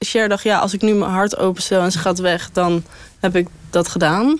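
This woman has an unremarkable speaking voice, pitched in the middle for a woman, with ordinary pitch variation. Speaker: interviewee. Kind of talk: casual chat.

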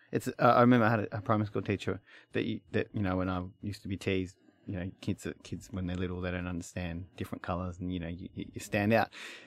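A man with a strong Australian accent and a very deep, low pitch, very fast and fairly even in intonation, in a very clean recording with a silent background. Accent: broad Australian. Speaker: mechanical engineer and interviewer. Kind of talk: interview.

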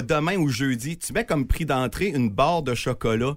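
In a very clean recording with a silent background, a man talks at a moderate pace in an animated tone with lively intonation. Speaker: toy drive organizer. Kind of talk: casual chat.

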